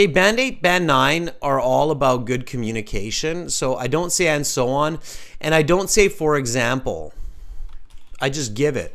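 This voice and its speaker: The speaker has a Canadian West Coast accent and lively intonation at a moderate pace. Audible room echo surrounds the voice. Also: man, fairly high pitch for a man. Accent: Canadian West Coast, North American. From western Canada. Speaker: English exam teacher. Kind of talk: live online class. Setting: live stream. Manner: clear model pronunciation for repeating.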